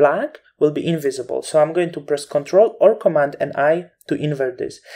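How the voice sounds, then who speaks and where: This voice carries a non-native accent. Its speed stays moderate. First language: not English. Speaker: Photoshop instructor. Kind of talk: tutorial.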